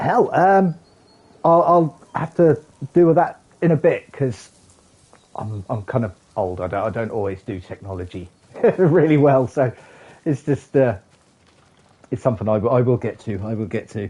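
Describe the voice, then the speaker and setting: Using very wide pitch swings, a man talks at a moderate pace with a dark, mellow, somewhat breathy tone, long, frequent pauses, and a dry, close sound with no echo. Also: medium pitch for a man. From England. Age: 40s. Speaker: gaming streamer. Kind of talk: live gameplay stream chat. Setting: streaming from a PlayStation console.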